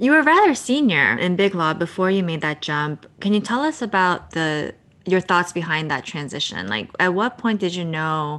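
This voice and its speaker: A woman's fairly low voice with an American accent, an unremarkable speaking voice, lively intonation, a moderate pace and a quiet background. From New Jersey. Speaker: podcast host. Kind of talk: interview; scripted introduction.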